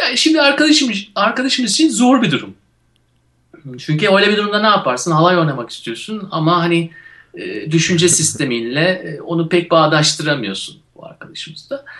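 A man speaks in a high voice. He goes at a fairly quick pace with very wide pitch swings. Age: 40s. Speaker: radio show co-host. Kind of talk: casual chat.

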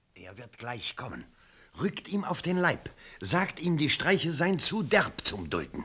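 Using a put-on character voice, a man talks at a medium pitch with big pitch swings and a fairly slow pace. The tone is bright and sharp, with a slightly husky edge.

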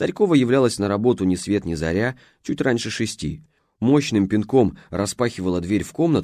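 Plain reading aloud with lively intonation sits over a quiet background.

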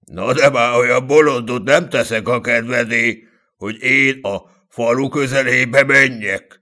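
The clip features a natural reading voice with fairly even intonation. The background is quiet.

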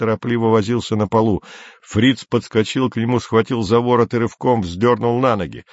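Simply an unforced reading voice

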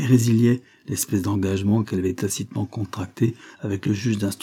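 An unforced reading voice comes through with fairly even intonation.

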